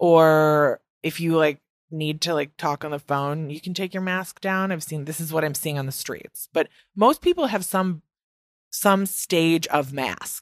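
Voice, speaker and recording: Speaking with a Midwestern US accent, a woman uses a very deep, low pitch, fairly even intonation and a fairly slow pace, heard dry and close with no echo in a very clean recording with a silent background. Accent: Midwest American, long vowels. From US Midwest. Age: 20s. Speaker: podcast host. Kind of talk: casual chat, interview. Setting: home recording, dog and partner nearby.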